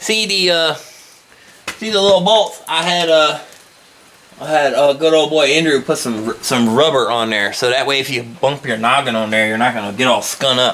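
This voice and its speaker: With a Southern US accent, a man talks at a fairly high pitch with lively intonation over noticeable background noise. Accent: southern drawl. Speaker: car customizing vlogger. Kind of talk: casual vlog walkthrough. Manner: casual, halting with fillers.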